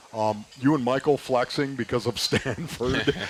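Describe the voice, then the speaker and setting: Male speech, ordinary in its pitch movement, with background noise clearly present. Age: 60s. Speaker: radio co-host, former football player. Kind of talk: casual sports talk. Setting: live show at a restaurant.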